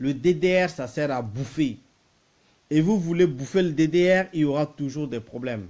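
The tone is dark and mellow, and the intonation is lively. The pace is fairly slow. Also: man, fairly high pitch for a man. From Central African Republic. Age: 30s. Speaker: political commentator. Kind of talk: political monologue. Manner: animated; repetitive, stammering.

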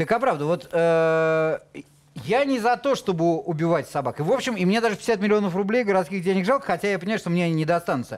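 Speech races along at a very fast pace, with lively intonation and very even loudness throughout. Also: man, high pitch for a man. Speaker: TV talk show host. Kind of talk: TV studio discussion. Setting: TV studio. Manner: ironic. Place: studio. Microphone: headset.

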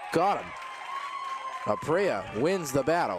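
A man talks at a fairly slow pace with very wide pitch swings. Noticeable background noise runs under his voice. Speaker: baseball play-by-play announcer. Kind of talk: live sports commentary, play-by-play call of a baseball game.

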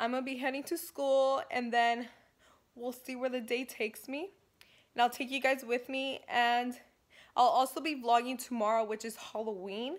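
Against a quiet background, a woman speaks at a high pitch. Her intonation stays fairly even. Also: moderate pace. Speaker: vlogger. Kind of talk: casual vlog. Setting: at home. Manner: casual, hesitant with fillers. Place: home room. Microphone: phone near.

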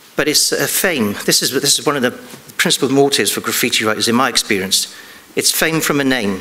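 At a fairly quick pace, a man speaks with ordinary pitch variation. His loudness stays very even. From England. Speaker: police detective. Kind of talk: conference talk. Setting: stage with audience. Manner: halting. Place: stage.

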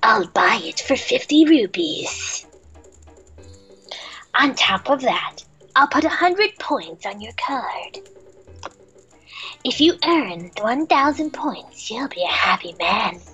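Faint music plays in the background as a woman does a put-on character voice. She speaks at a very slow pace with long, frequent pauses. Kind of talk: comic overacting. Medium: game stream. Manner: exaggerated, goofy.

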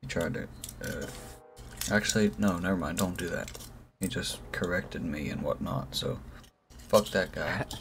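With music in the background, a man talks at a moderate pace, leaving long, frequent pauses. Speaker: streamer, vlogger. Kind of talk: casual vlog chat. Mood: relaxed, joking. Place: home room.

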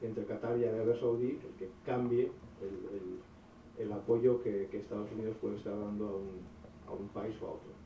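A man talks at a moderate pace and a medium pitch. The recording carries audible room echo and light background noise. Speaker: audience member asking a question; audience member. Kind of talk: audience question. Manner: halting, repeats words. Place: hall.

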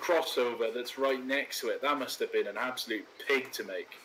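Noticeable background noise is present in the clip. Over it, a man talks at a moderate pace. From Wales. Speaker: video host, train simulator gameplay. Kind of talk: casual chat with gameplay commentary. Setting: online voice call while recording gameplay.

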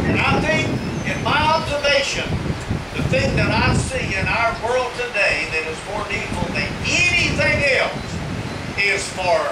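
The speech comes at a fairly slow pace against loud background noise. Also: man. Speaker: evangelist preacher. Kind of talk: sermon. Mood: earnest, emotional. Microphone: camera far.

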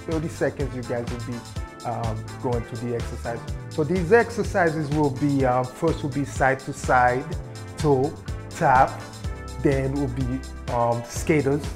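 Clear music plays in the background as a man speaks with long, frequent pauses. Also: fairly slow pace. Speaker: fitness instructor. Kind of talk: workout intro, casual instruction. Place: home room. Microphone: lapel.

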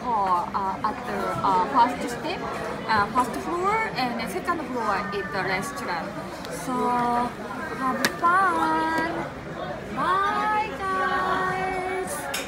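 A woman at a very slow pace with long, frequent pauses, crowd noise behind her. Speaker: travel vlogger. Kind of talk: casual vlog chat. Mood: cheerful, smiling. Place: cafe. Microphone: phone near.

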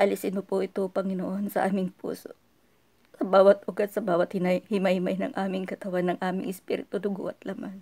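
At a fairly quick pace against a quiet background, a woman speaks in a dark, mellow tone with monotone, flat intonation. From Philippines. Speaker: person praying. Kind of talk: fervent prayer. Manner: emotional, fervent. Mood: solemn, emotional prayer. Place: home room. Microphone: phone near.

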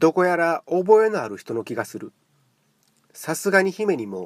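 Speaking at a fairly slow pace with a Kansai accent, a man's high voice makes very wide pitch swings. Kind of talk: literary audiobook reading.

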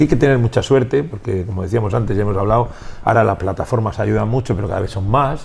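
A man is speaking. His pitch shows ordinary variation. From Spain, Valladolid; Spain. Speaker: rock musician. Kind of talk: interview. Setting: music venue. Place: bar. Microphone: lapel.

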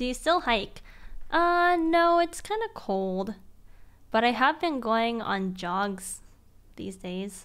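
A woman speaks at a very slow pace, with long, frequent pauses. Her pitch swings very widely over a quiet background. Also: fairly high pitch for a woman. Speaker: live streamer. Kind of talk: casual live stream chat. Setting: home streaming room. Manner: animated, excitable. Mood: cheerful, chatty. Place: home room. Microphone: studio mic.

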